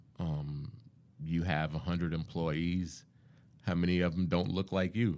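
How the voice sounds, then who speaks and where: A man's very deep, low voice with an American accent, fairly slow and fairly even in intonation, very even in loudness, with long, frequent pauses. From US South, Charleston, South Carolina (Johns Island area). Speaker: diversity executive, law graduate. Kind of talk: interview conversation.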